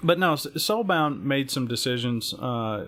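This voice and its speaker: The man speaks with an Alabama accent. His pace is fairly slow. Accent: Southern US (Alabama). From US South, Alabama. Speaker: gaming stream panelist. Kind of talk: live stream panel discussion. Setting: live stream. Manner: halting, many fillers and repetitions.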